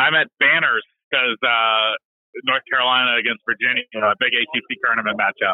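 A plain, everyday voice moves at a fairly quick pace. Its pitch variation is ordinary. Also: man, medium pitch for a man. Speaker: sports reporter. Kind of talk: casual interview. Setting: phone call.

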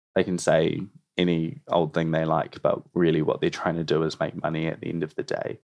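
A man with a New Zealand accent, talking at a fairly quick pace. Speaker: environmental campaigner. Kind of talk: interview.

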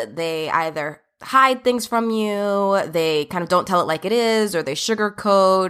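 Hardly pausing, a woman with a New Jersey accent talks at medium pitch with ordinary pitch variation. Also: fairly slow pace, very clean recording, silent background. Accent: New Jersey American. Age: 30s. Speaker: podcast host and OBGYN doctor. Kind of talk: casual monologue.

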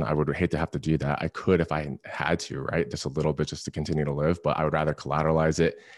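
A man with an American accent talks at a very fast pace in a very deep, low voice with vocal fry, his intonation monotone and flat, the sound dry and close with no echo. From Florida (Clearwater). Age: 20s. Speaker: professional football player. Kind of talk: interview.

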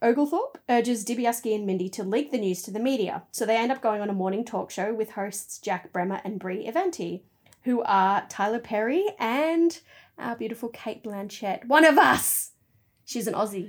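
Speaking with an Australian accent, a woman has a fairly high pitch and lively intonation. Her pace is moderate, and the recording is very clean with a silent background. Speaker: podcast host. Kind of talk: casual chat.

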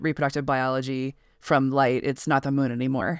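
A woman speaks at a very deep, low pitch in a General American accent. Her pace is moderate, and the sound is dry and close with no echo. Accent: flat general American. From US West, Colorado. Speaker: science writer. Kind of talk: interview. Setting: remote call.

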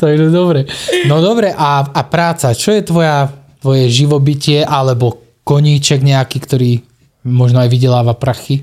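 A man with a Slovak accent talks at a moderate pace. His fairly high voice holds a very even loudness. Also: ordinary pitch variation. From Slovakia. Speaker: podcast host, calendar photographer. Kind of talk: casual chat. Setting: studio.

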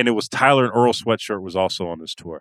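A man's unremarkable speaking voice, lively intonation and a fairly quick pace, the sound dry and close with no echo, a very clean recording over a silent background. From California. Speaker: sports writer and podcast co-host. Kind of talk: casual chat.

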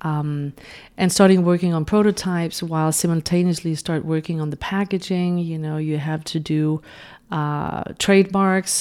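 Speaking with a Danish accent, a woman uses a fairly low pitch and a monotone, flat intonation on a very clean recording with a silent background. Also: moderate pace. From Denmark. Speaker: beauty brand founder and makeup artist. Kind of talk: interview. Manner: hesitant, many fillers.

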